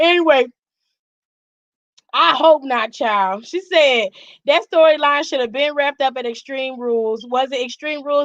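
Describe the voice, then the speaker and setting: Loud and bright with a sharp tone, a woman speaks at a high pitch and fairly slow pace, her intonation lively. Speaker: wrestling commentary streamer. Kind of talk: live aftershow commentary. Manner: animated. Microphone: mic very close, may clip.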